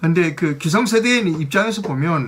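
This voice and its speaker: Lively in intonation and fairly high in pitch, a man speaks over noticeable background noise. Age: old. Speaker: news commentary host. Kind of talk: news commentary monologue. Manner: hesitant, many fillers.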